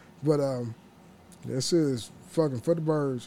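A man with a dark, mellow tone and ordinary pitch variation, at a fairly slow pace. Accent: American. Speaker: podcast host. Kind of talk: casual solo monologue. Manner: halting, repetitive.

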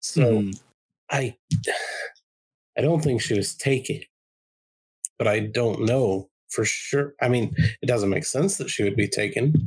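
A put-on character voice, raspy and low-to-middle in pitch, at a fairly slow pace with long, frequent pauses. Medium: actual play. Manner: worried, rambling, puzzled.

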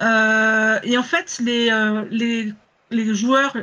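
The tone is bright and sharp. There is little pitch movement.

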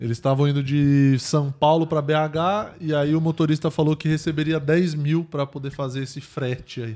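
An unremarkable speaking voice. The pace is moderate. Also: man, fairly high pitch for a man, fairly even intonation. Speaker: podcast co-host. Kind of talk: casual chat.

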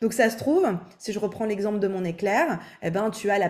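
Speaking at a moderate pace in a normal speaking voice, a woman keeps a medium pitch and fairly even intonation. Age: 20s. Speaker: vocal coach. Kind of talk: casual interview.

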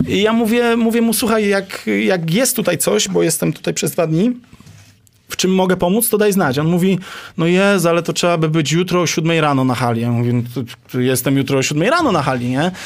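A man speaks in a high voice with very wide swings in pitch. His pace is fairly quick and his loudness stays very even. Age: 30s. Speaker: basketball coach. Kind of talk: casual interview.

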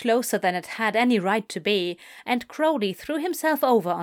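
The natural reading voice has lively intonation.

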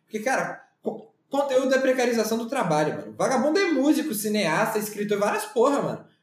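Talking at a fairly quick pace, a man with an extremely high pitch uses lively intonation. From Campinas, São Paulo state, Brazil. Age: 20s. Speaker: journalist and designer. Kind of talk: casual chat.

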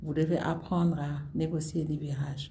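A woman's very deep, low voice, somewhat breathy with a dark, mellow tone, fairly even intonation, a fairly slow pace and audible room echo. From Senegal. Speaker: former government minister. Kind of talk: interview. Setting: in person in Senegal.

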